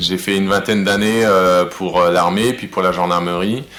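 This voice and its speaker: There is audible room echo and noticeable background noise. A man speaks with fairly even intonation. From Alsace, France. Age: 40s. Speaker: helicopter pilot and rum brand founder. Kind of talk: interview. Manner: hesitant, many fillers.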